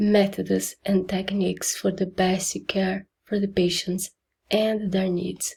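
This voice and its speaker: Speaking at a very slow pace with a Brazilian accent, a woman uses a medium pitch, fairly even intonation and a somewhat breathy voice. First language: Portuguese. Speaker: nursing program applicant, nursing assistant. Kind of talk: admission interview video answers. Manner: hesitant, with fillers.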